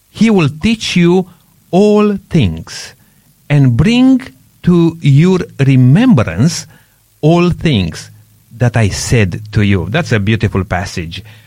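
With a non-native accent, a man speaks at a very slow pace in a somewhat breathy, fairly high voice marked by very wide pitch swings. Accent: foreign-accented English. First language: not English. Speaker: radio host. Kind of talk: radio discussion, religious talk. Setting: radio studio.

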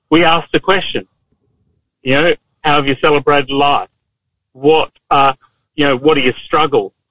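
The speaker has an Australian accent and a moderate pace, with long, frequent pauses. Intonation is fairly even and loudness stays very even. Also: man, fairly high pitch for a man. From Queensland, Australia. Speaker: police officer. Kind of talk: casual chat.

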